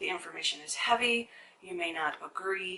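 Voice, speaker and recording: Noticeable background noise fills the recording. A woman speaks at medium pitch. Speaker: conspiracy-topic YouTuber. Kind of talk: monologue vlog. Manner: fast.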